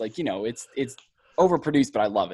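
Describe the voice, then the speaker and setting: A man with an American accent and an unremarkable speaking voice talks at a fairly quick pace with ordinary pitch variation, on a very clean recording with a silent background. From US Midwest, Ohio. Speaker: podcast host. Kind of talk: casual interview.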